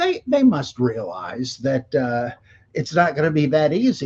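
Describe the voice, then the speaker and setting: A man with a fairly high pitch and a somewhat breathy voice, lively intonation at a fairly slow pace. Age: 70s. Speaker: scholar of religion, author. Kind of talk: interview conversation. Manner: halting, many fillers.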